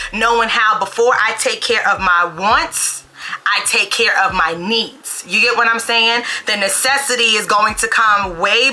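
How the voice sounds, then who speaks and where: With a New York accent, a woman speaks at a fairly slow pace and a fairly high pitch, keeping her loudness very even over noticeable background noise. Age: 30s. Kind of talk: casual talk to camera.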